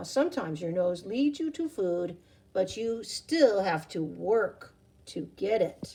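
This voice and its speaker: A woman puts on a character voice with a warm tone, medium pitch and a fairly slow pace. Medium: read story. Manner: warm, patient.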